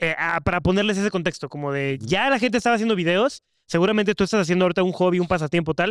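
Heard in a very clean recording with a silent background and a dry, close sound with no echo, a man speaks at a high pitch with ordinary pitch variation. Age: 20s. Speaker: podcast co-host. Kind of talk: casual chat.

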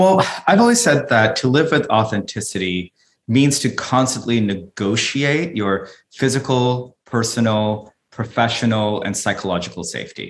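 An ordinary speaking voice from a man with an American accent, medium-pitched and lively in intonation, at a moderate pace. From Philippines, then Sydney, Australia and California. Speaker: author and corporate diversity advisor. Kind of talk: interview.

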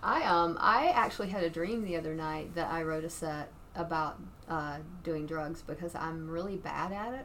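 Audible room echo colors a woman's fairly low voice as she speaks at a moderate pace with ordinary pitch variation. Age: 50s. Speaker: stand-up comedian. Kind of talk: casual chat.

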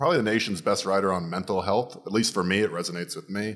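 In an American accent, a man with a fairly low pitch speaks in an animated tone on a very clean recording with a silent background. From Florida, US. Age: 30s. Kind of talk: casual comedic banter. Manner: joking, animated.

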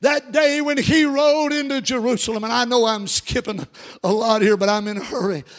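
A man talks at a fairly slow pace with a Kentucky accent. His pitch is extremely high. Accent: US Southern (Kentucky). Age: 60s. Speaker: pastor. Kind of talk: sermon. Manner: animated.

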